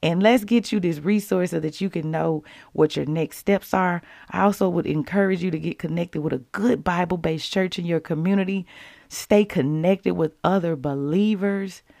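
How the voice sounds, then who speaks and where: Over a very clean recording with a silent background, a woman speaks at a moderate pace in a fairly low pitch, her tone dark and mellow, with ordinary pitch variation. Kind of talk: devotional talk, casual and preachy. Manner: animated, jokey, excitable.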